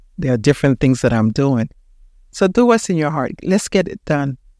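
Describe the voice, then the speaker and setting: A woman's voice comes through dry and close with no echo, on a very clean recording with a silent background. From Panama. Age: 60s. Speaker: podcast host. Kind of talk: motivational talk. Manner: animated.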